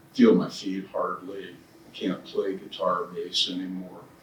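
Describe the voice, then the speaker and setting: The words come very slowly while noticeable background noise carries on behind them. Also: man. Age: 70s. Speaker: cancer patient. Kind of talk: panel discussion.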